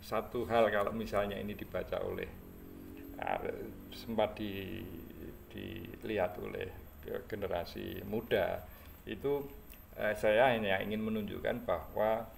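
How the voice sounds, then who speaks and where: A man with a Javanese accent speaks at a fairly slow pace with long, frequent pauses, and audible room echo surrounds his voice. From Java, Indonesia. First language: Javanese (speaking Indonesian). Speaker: history content creator. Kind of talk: casual talk about a book. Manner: halting, many fillers.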